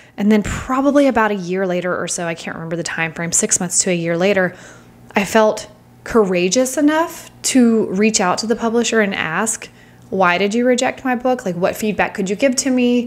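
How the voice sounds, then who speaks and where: A normal speaking voice at a fairly quick pace with lively intonation. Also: woman, fairly high pitch for a woman. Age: 40s. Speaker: author and podcast host. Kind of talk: casual solo podcast talk. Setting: home with background noise. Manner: chatty, upbeat.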